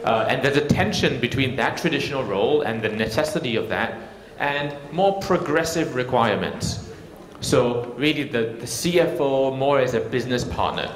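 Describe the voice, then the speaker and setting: The speaker has a Singaporean accent, a moderate pace and ordinary pitch variation. Audible room echo and noticeable background noise fill the recording. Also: man, medium pitch for a man. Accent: non-Indian accent, Singaporean. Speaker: technology consultant, conference speaker. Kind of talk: conference keynote talk. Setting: stage with audience, microphone. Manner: frequent filler words, some hesitation.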